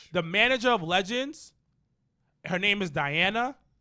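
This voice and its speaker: Raised and projected, a man's high-pitched voice has a bright, sharp tone and lively intonation at a moderate pace. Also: very clean recording, silent background. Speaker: wrestling podcast co-host. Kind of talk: casual chat. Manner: mumbling.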